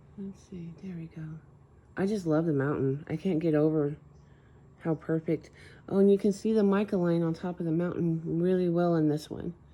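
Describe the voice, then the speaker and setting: A quiet woman with a dark, mellow tone and fairly low pitch talks at a fairly quick pace with fairly even intonation. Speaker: soap maker and channel host. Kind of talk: narrated craft tutorial. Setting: home at night. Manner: quiet, hushed.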